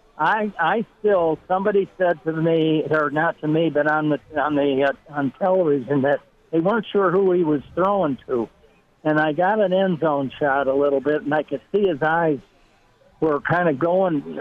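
A man with a normal speaking voice talks at a fairly high pitch. His loudness stays very even, and his pitch varies in an ordinary way. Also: moderate pace. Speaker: former football coach. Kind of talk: casual chat.

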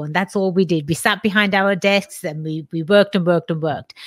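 In a British accent, the voice comes through with a dry, close sound with no echo on a very clean recording with a silent background. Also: woman. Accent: English (British), noticeable. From England. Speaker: lawyer and entrepreneur. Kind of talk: casual interview.

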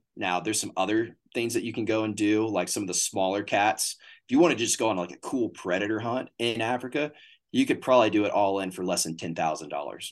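With a Texan accent, a man talks at a very fast pace in a fairly low pitch with ordinary pitch variation, against a quiet background. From Northeast Texas. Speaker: hunting booking agent. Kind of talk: casual interview chat.

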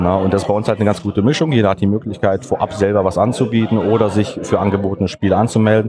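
A man's fairly low, fairly even voice at a very fast pace, with noticeable background noise. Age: 40s. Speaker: board game club founder. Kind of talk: interview. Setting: board game event.

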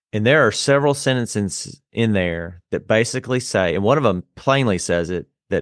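With a dry, close sound, no echo and a quiet background, a man talks at a moderate pace in a fairly low voice with lively intonation. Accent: Southern US. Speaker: podcast host. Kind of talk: casual chat.

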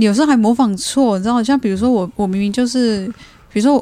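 Very fast speech with a dark, mellow tone and ordinary pitch variation fills this clip. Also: woman. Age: young. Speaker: podcast host. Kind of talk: casual chat.

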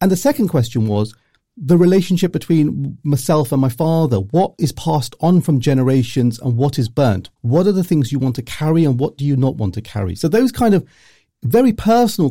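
This man's voice is fairly high-pitched, with a dark, mellow tone and a somewhat breathy quality. He talks at a fairly quick pace with lively intonation on a very clean recording with a silent background. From Luton, England. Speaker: journalist and author. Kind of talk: interview.

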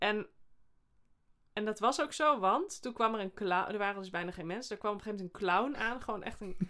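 Speaking very fast, a woman uses a fairly high, bright, sharp voice with ordinary pitch variation. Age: 40s. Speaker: comedian and sketch podcast host. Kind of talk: casual chat.

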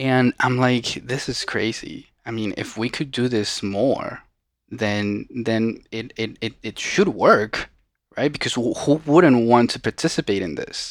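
The man talks at a fairly slow pace. His pitch sits in the medium range. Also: ordinary pitch variation. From Venezuela, Caracas. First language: Spanish. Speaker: social entrepreneur. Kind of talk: casual interview.

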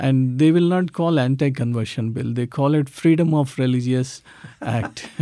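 On a very clean recording with a silent background, a man talks at a fairly high pitch in a dark, mellow tone, with ordinary pitch variation. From South India. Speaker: ministry leader. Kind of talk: testimony. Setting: studio.

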